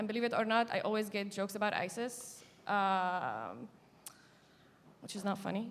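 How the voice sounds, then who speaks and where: With an Arabic accent, a woman speaks at a moderate pace and fairly high pitch, her intonation fairly even and her pauses long and frequent. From Syria, coastal Jableh. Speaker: activist and journalist. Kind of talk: panel discussion. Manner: halting, with many fillers.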